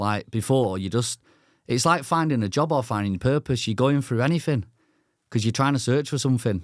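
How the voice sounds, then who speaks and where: Fairly quick in pace, this is an ordinary speaking voice with ordinary pitch variation. The recording is very clean, the background silent. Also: man. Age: 20s. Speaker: podcast host. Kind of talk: casual podcast conversation.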